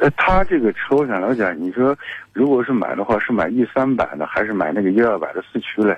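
Here a man has a plain, everyday voice at a medium pitch. He talks at a fairly quick pace with lively intonation. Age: 40s. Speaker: caller. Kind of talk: call-in question to radio car show.

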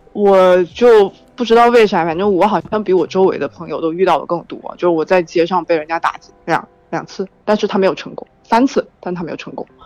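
A woman with an unremarkable speaking voice talks at a fairly quick pace and medium pitch, with ordinary pitch variation and big swings in loudness. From Haikou, Hainan. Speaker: caller, student abroad. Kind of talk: casual chat. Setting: phone call.

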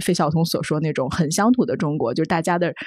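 A woman talking at a very fast pace. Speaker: magazine journalist. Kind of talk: casual discussion.

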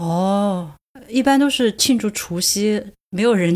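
A woman speaks at medium pitch and a very slow pace, with ordinary pitch variation. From Sichuan, China. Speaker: podcast host. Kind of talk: casual chat.

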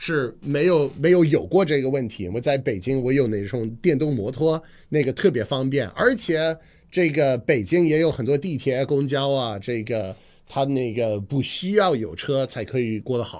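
In an English accent, a man speaks at a moderate pace and medium pitch with lively intonation. The background is quiet. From US Northeast, Boston. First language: English (speaking Chinese). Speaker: radio host and comedian. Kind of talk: casual chat. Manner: frequent fillers and hesitations.

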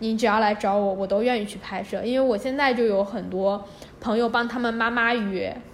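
A woman speaks at a fairly high pitch and a fairly quick pace, her intonation fairly even, with noticeable background noise and audible room echo. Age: 20s. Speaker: budget backpacker and photographer. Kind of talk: casual interview.

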